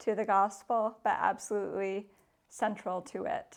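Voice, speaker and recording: A woman speaks with a Canadian accent at a medium pitch. She talks at a fairly slow pace against a quiet background. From Canada. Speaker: church environmental ministry worker. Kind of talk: interview monologue. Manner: hesitant, with frequent fillers.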